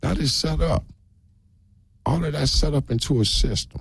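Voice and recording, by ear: Vocal fry and a slightly husky edge run through this voice, which moves at a moderate pace with ordinary pitch variation. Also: man, fairly high pitch for a man.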